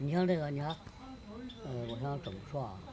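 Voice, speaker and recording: A man's fairly high voice in a Beijing accent, full of very wide pitch swings, against noticeable background noise. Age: 80s+. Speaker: local elder storyteller. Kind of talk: oral history storytelling to camera. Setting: outdoors. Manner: lively, humorous.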